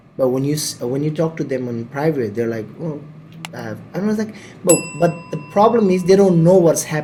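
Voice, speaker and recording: A man talks fairly quickly with lively intonation and a fairly high pitch. Noticeable background noise is present. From Nepal. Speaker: podcast host. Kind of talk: casual chat. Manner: loud; energetic.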